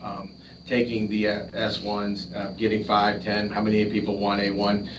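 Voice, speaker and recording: There is audible room echo as a man talks at a fairly low pitch. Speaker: town official giving updates. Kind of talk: public meeting report. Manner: fast.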